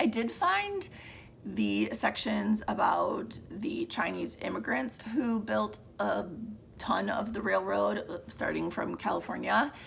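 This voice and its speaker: A woman talks at a very slow pace while noticeable background noise carries on behind her. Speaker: book reviewer. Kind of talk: casual monthly book wrap-up. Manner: casual, with fillers and restarts.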